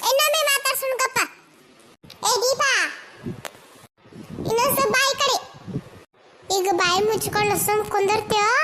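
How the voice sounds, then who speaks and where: A woman in a cartoonish character voice speaks at an extremely high, squeaky pitch, with ordinary pitch variation, a moderate pace and very even loudness. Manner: chatty, coaxing.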